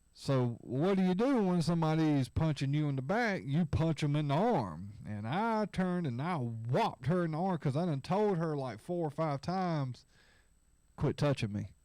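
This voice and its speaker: A man mumbles at a moderate pace with lively intonation and a dark, mellow tone. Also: fairly high pitch for a man, very clean recording, silent background. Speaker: livestream host. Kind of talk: casual chat. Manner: mumbling.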